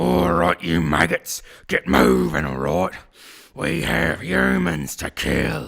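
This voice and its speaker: Shouting in a put-on character voice, a man sounds gruff and raspy. His pitch is very deep and low. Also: fairly slow pace. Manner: gruff, shouting, twangy accent.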